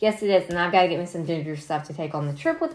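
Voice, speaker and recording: A woman speaks with a slight country accent. Her pitch is fairly low. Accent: slight country twang. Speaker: solo podcast host. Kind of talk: casual solo talk. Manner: casual with many fillers.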